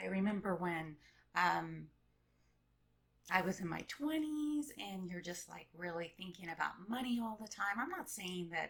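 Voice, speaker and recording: This woman talks at a fairly slow pace with lively intonation and a medium pitch. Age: middle-aged. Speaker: vlogger. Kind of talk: casual monologue. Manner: hesitant, many fillers.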